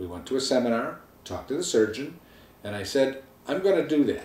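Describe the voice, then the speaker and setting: A man speaks in a dark, mellow tone with ordinary pitch variation. Audible room echo surrounds the voice. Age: 60s. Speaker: weight-loss surgery patient. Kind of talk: personal testimony to camera. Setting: home video filmed by wife. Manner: casual conversational.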